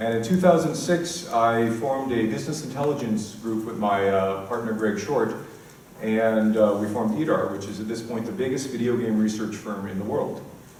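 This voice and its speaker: A man with an American accent at a medium pitch, ordinary pitch variation and a fairly quick pace, plus audible room echo and noticeable background noise. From US West Coast, San Diego. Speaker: conference speaker, games industry analyst. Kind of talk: conference talk.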